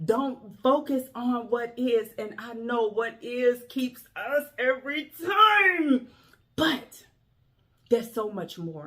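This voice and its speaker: Very slowly, a woman speaks in a high, bright, sharp voice with lively intonation. Her loudness swings widely. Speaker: motivational speaker. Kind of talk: motivational talk. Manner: emphatic.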